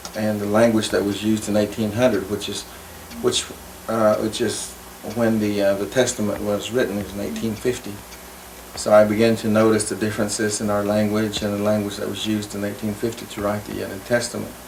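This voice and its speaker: Over noticeable background noise and audible room echo, a man speaks at a fairly quick pace. His fairly low voice stays monotone and flat. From Oklahoma, Cherokee community. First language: Cherokee. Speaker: linguist. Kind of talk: interview. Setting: on location. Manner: halting, many fillers.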